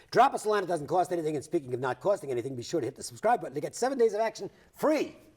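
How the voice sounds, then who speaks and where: A man talks very fast in a high voice. His pitch swings very widely. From Rhode Island. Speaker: sports betting TV host. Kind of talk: TV sports talk show.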